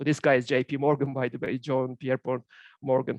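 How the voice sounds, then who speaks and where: A man with a Turkish accent talks at a fairly quick pace. His pitch sits fairly high. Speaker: finance professor. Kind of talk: academic seminar presentation. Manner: halting, many fillers.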